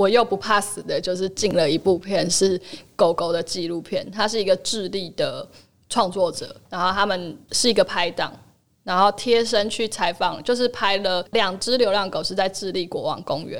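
In an ordinary speaking voice, a woman of medium pitch talks at a moderate pace with fairly even intonation on a very clean recording with a silent background. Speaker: film distributor and former actress. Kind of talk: casual chat.

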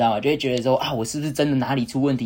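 His pitch sits in the medium range. The man speaks very fast. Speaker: college tennis player. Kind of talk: casual chat.

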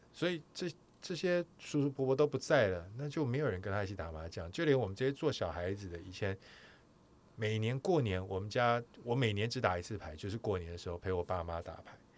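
A man at a fairly quick pace with very wide pitch swings, on a very clean recording with a silent background. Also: fairly low pitch for a man. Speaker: podcast host, sports broadcaster. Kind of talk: casual chat.

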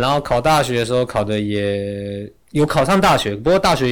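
A man with an unremarkable speaking voice talks at a fairly quick pace with lively intonation, on a very clean recording with a silent background. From Taiwan, Yilan. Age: 30s. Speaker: travel writer and speaker. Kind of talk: interview conversation. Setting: studio.

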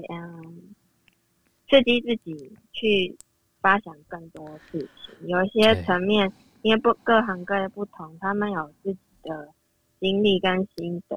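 A woman's medium-pitched voice, very slow, with fairly even intonation. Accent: Taiwanese. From Taiwan, Yunlin County. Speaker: listener, administrative secretary. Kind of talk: casual chat.

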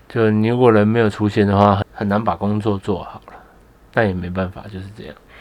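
Speaking at a fairly quick pace, a man keeps a flat, monotone intonation at a fairly low pitch while his loudness swings widely. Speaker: podcast co-host. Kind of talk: casual chat. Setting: small room at home, masked.

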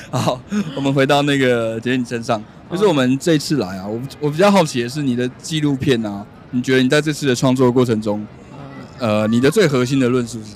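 Background noise is noticeable as a man speaks at a fairly quick pace. His pitch sits in the medium range with ordinary variation. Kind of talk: casual interview. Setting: outdoors in Times Square.

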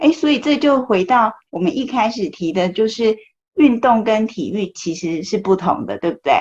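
A woman talks at a moderate pace in a somewhat breathy voice. Her pitch is fairly high and swings very widely. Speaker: podcast host. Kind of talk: interview. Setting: remote recording in Taipei.

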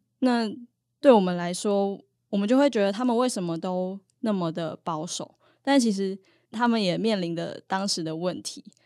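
A woman's dark, mellow tone comes through on a very clean recording with a silent background. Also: medium pitch for a woman, ordinary pitch variation, moderate pace. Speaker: university student, student union officer. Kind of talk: casual interview.

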